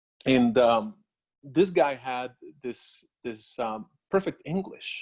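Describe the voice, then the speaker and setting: A man with a strong Spanish accent speaks at a medium pitch with ordinary pitch variation, recorded in a dry, close sound with no echo. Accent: Spanish accent, heavy. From Puerto Rico. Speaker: industry scientist, doctoral alumnus. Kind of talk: career Q&A talk. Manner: halting, many fillers and repeats.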